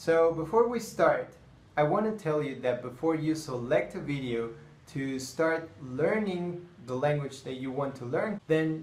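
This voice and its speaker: A man with a fairly high pitch talks at a moderate pace with ordinary pitch variation. Noticeable background noise and audible room echo are present. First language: Spanish. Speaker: language teacher. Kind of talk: tutorial.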